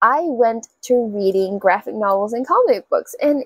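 The background is quiet and the sound is dry with no echo. A woman speaks with ordinary pitch variation. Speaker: book vlogger. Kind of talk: casual vlog chat. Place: home room.

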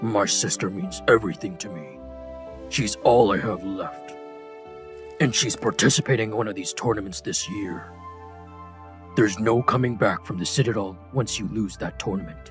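Using a put-on character voice, a man with a fairly low pitch speaks at a moderate pace over clear music in the background. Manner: pleading, then angry.

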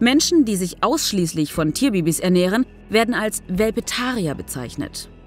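A woman speaks at a moderate pace in a medium pitch, her voice swinging very widely in pitch over music in the background. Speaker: voice-over narrator.

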